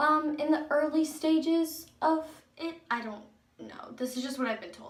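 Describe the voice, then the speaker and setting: Loudness swings widely throughout, and audible room echo surrounds the speech. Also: woman, high pitch for a woman, ordinary pitch variation, moderate pace. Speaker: video blogger. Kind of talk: casual personal vlog. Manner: animated.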